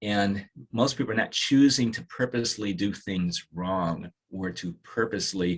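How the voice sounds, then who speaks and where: A man speaks in a normal speaking voice, fairly low in pitch, with ordinary pitch variation. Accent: American. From Washington DC area. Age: 60s. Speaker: dermatologist. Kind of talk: podcast interview. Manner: reflective, with frequent fillers and restarts.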